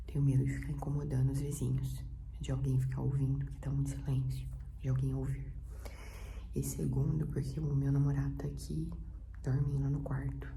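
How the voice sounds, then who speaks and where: A soft-spoken woman talks at a moderate pace in a very deep, low voice with flat, monotone intonation and long, frequent pauses, with audible room echo and noticeable background noise behind her. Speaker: vlogger. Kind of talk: casual vlog talk. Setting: at home in apartment. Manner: soft-spoken, speaking quietly.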